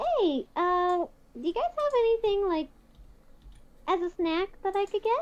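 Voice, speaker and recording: An extremely high, squeaky put-on character voice from a woman, fairly slow in pace, with long, frequent pauses. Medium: actual play. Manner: casual, polite.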